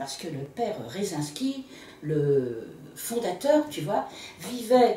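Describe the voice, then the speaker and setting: A woman speaks with very wide pitch swings. Audible room echo and noticeable background noise surround her voice. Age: 70s. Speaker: interviewee, local reader. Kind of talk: casual interview. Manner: animated.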